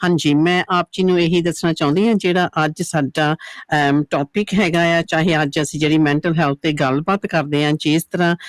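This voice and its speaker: In a Punjabi accent, a woman talks at a fairly slow pace with fairly low pitch and fairly even intonation. Her loudness stays very even, and the sound is dry and close with no echo, on a very clean recording with a silent background. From England. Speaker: radio presenter. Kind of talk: radio interview. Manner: halting.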